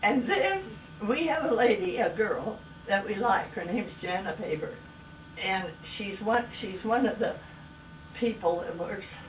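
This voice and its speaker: A woman with an American accent speaks at a fairly slow pace with long, frequent pauses, her fairly high voice showing ordinary pitch variation. Audible room echo and noticeable background noise fill the recording. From US West. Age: 90s. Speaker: elderly storyteller. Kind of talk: casual chat.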